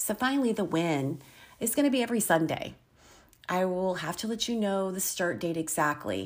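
At a moderate pace and medium pitch, a woman with a plain, everyday voice and an American accent speaks with lively intonation in a very clean recording with a silent background. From Virginia, US. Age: 50s. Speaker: podcaster and substitute teacher. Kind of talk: casual monologue.

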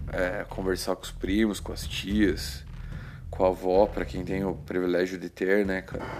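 A man with a Brazilian accent and a very deep, low pitch, at a fairly slow pace with ordinary pitch variation. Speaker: podcaster. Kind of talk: casual chat. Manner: informal, filler-heavy.

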